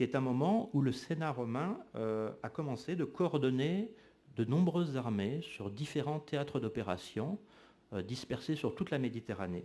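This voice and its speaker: On a very clean recording with a silent background, a man speaks fairly slowly in a dark, mellow tone. His medium-pitched voice makes very wide pitch swings. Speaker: historian. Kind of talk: lecture. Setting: lecture hall with audience. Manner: frequent hesitations (euh).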